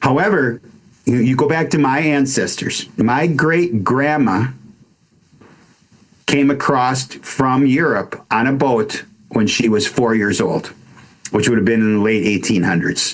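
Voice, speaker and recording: Fairly slow delivery with an American accent, long and frequent pauses, ordinary pitch variation and very even loudness. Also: man, medium pitch for a man. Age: 60s. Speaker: wellness coach. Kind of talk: casual chat. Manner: halting.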